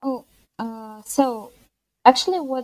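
A woman speaks with a Russian accent in a dark, mellow tone. The sound is dry and close, with no echo. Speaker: freelance web and graphic designer. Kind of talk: interview. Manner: halting, frequent hesitations.

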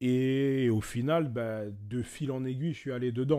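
A man's dark, mellow voice at a fairly slow pace, in a very clean recording with a silent background. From France, Paris region (Val-d'Oise). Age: 20s. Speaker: manga artist and illustrator. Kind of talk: casual chat.

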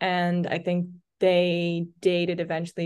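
A woman with a fairly low pitch against a quiet background. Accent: Dutch. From Netherlands. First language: Dutch. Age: 20s. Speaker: content creator. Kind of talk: casual chat. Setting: video call.

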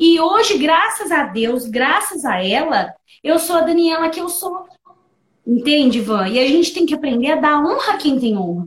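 At a moderate pace, a woman speaks high in pitch with very wide pitch swings. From interior of São Paulo state, Brazil. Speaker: coaching client and coach. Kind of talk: testimony. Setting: online live stream.

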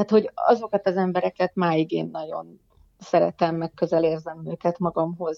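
A woman with an ordinary speaking voice talks at a fairly slow pace in a fairly low pitch, her intonation fairly even. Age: 50s. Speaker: poet and writer, teacher. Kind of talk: casual interview chat.

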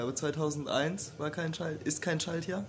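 Somewhat breathy and fairly high-pitched, a man speaks at a fairly slow pace. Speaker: podcast host. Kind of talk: casual chat.

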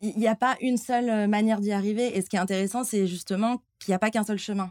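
Very fast woman's speech at a medium pitch, with fairly even intonation and a dry, close sound with no echo. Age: 20s. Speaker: athlete living with diabetes. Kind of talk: casual interview. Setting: near restaurant kitchens. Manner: hesitant, many fillers.

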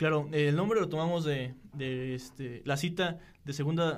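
Fairly high in pitch, a man with an ordinary speaking voice keeps his intonation fairly even. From Querétaro, Mexico. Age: 20s. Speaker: seminarian. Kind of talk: casual chat.

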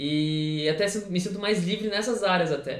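The voice shows ordinary pitch variation. Noticeable background noise and audible room echo are present. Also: man. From São Paulo state, Brazil. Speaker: custom sneaker and clothing artist. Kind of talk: casual chat.

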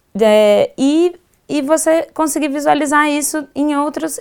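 A woman talks with ordinary pitch variation. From Goiás, Brazil. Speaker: designer and maker educator. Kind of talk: casual chat. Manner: halting, repeats words.

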